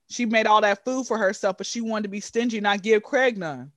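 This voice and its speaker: Against a quiet background, the speaker talks at a moderate pace in an animated tone. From Atlanta, Georgia. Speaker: aspiring comedian and content creator. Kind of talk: casual chat.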